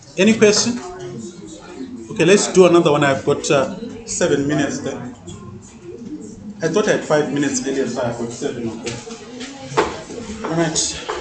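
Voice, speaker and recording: Over music in the background, a man with a fairly high pitch talks loudly at a fairly quick pace, with very wide pitch swings, long, frequent pauses and audible room echo. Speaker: mathematics teacher. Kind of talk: classroom lecture.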